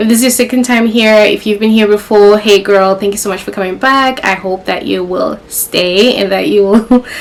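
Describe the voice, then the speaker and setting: Speaking at a moderate pace with hardly any pauses, a woman uses a medium pitch and fairly even intonation over noticeable background noise. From Zimbabwe, Kadoma and Harare. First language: Shona. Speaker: YouTuber. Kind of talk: casual sit-down vlog. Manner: casual, conversational.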